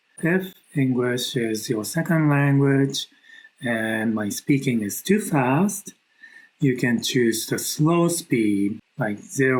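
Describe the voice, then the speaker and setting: A soft-spoken man with a non-native accent, very slow pace and lively intonation. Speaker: knitwear designer. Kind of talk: tutorial. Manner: slow and soft-spoken.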